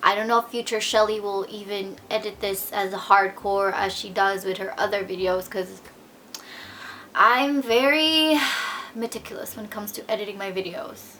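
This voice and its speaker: Speaking with a Filipino accent over noticeable background noise, the voice shows ordinary pitch variation and big swings in loudness. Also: woman, medium pitch for a woman, moderate pace. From Philippines. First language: Tagalog. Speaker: vlogger. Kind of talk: unscripted vlog monologue. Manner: halting, with stutters and fillers.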